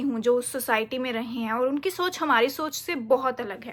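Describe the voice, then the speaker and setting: Heard in a very clean recording with a silent background, the raised, projected voice has a bright, sharp tone and ordinary pitch variation. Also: woman. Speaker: motivational vlogger. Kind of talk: casual talk to camera. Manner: halting, searching for Hindi words.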